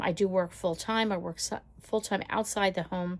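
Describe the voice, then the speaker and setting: On a very clean recording with a silent background, a woman with a normal speaking voice talks at a moderate pace, her fairly low pitch showing ordinary variation. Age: 60s. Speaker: lifestyle vlogger and caregiver. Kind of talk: casual chat. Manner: conversational, with filler words.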